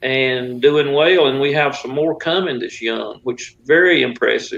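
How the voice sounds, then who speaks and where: Fairly high-pitched for a man, he talks in an unremarkable speaking voice at a moderate pace with ordinary pitch variation. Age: 60s. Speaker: drag racing league organizer. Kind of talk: interview. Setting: live online talk show.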